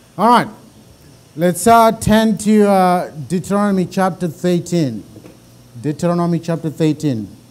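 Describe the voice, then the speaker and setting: In a Zimbabwean accent, a man talks at a moderate pace with ordinary pitch variation. His speech has long, frequent pauses. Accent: deep Zimbabwean. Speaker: bible teacher. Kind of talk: lecture.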